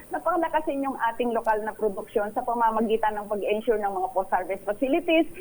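A woman talks very fast with lively intonation. Noticeable noise sits in the background. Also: fairly high pitch for a woman, hardly any pauses. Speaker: advocacy group spokesperson. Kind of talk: radio interview.

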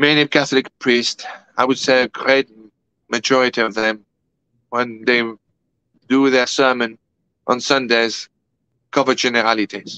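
A man with a French accent at medium pitch, bright, sharp tone, monotone, flat intonation, very even loudness, moderate pace with long, frequent pauses, dry sound with no echo, quiet background. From France. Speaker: guest. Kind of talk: interview. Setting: video call. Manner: formal. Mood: earnest, grave. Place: home room. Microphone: video call.

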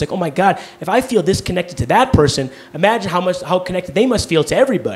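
A man's high-pitched voice at a very fast pace, with lively intonation. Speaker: stand-up comedian. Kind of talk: stand-up comedy set, confessional and self-deprecating. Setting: stage with live audience. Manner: halting, stammering, with self-interrupting restarts. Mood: confessional, earnest. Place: stage. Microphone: handheld.

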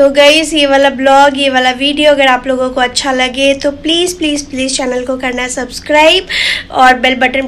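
A woman speaks at a high pitch with fairly even intonation and few pauses. Faint background noise can be heard. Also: fairly bright tone.

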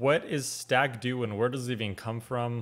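Speaking with an American accent, a man keeps to a moderate pace. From United States. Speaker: reaction video host. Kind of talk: casual reaction commentary. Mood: curious, amused. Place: home room.

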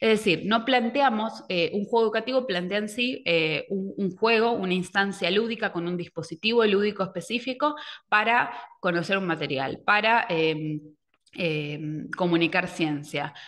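With an ordinary speaking voice, a woman of medium pitch talks at a moderate pace with lively intonation against a quiet background. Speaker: educational technology advisor; presenter. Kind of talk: online workshop presentation. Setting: video call. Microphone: webcam.

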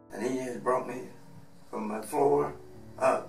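The speech moves at a fairly slow pace while music plays clearly in the background. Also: man. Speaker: retired truck broker, below-knee amputee. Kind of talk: interview answer. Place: office.

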